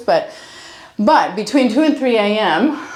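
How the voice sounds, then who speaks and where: A woman with lively intonation, over noticeable background noise. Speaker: chiropractor. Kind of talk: chiropractic ASMR session, casual talk with a patient. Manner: warm, conversational, reassuring.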